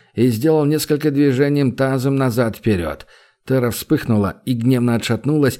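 Here someone is reading aloud in a natural voice.

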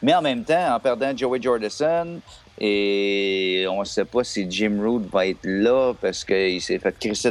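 A man talks with a Quebec accent. His pitch variation is ordinary. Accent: Québécois French. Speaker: metal podcast co-host. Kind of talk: casual chat.

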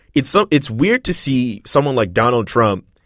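A man with a Montreal accent, lively intonation and a moderate pace. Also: very clean recording, silent background. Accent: Canadian English (Montreal). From Montreal, Quebec. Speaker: podcast host. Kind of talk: casual chat. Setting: studio.

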